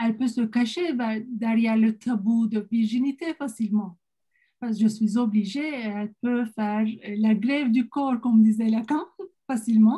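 A woman's fairly slow, somewhat breathy voice with a Turkish accent, fairly high pitch, fairly even intonation and a dark, mellow tone against a quiet background. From Turkey. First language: Turkish (speaking French). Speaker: psychiatrist; presenter. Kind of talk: online panel talk. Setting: video call. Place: home room. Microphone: webcam.

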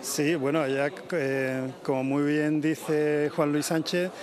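Over noticeable background noise, a man with a fairly high pitch talks at a very slow pace in a monotone, flat intonation. The sound is dry, with no echo. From Andalusia, San Fernando (Cádiz). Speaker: novelist. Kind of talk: interview. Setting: outdoors.

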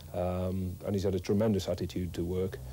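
A man with a very deep, low voice speaks fairly quickly in a dark, mellow, somewhat breathy tone. His intonation stays fairly even over light background noise. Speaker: football manager. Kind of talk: interview. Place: office.

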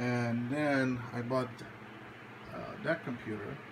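Against noticeable background noise, a man talks with fairly even intonation. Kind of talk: casual tutorial. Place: home room. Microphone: phone near.

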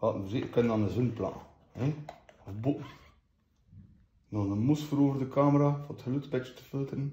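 A man's fairly high, somewhat breathy, dark, mellow voice with a West Flemish accent, fairly quick but with long, frequent pauses, ordinary pitch variation, big swings in loudness and audible room echo. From West Flanders, Belgium. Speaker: unboxing host. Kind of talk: casual unboxing talk to camera. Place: home room. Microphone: phone near.

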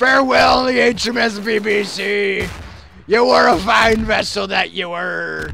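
A man shouts in a put-on character voice, high-pitched and very slow. Clear background noise runs under him. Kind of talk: comic pirate talk. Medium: game stream. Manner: blustery, theatrical.

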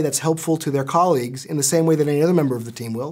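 A man against a quiet background. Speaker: business school lecturer. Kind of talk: interview answer. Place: office.

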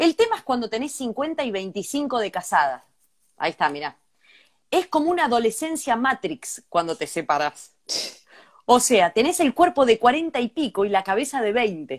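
A high-pitched woman at a moderate pace, very wide pitch swings, quiet background. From Argentina. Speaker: podcast co-host. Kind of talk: casual chat. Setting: live stream. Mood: playful, joking. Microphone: earbuds.

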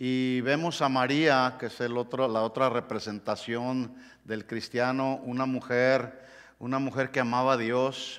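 A man with a medium pitch talks at a fairly slow pace. His intonation is monotone and flat, against a quiet background. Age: 60s. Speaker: pastor. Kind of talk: sermon. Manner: halting. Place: church.

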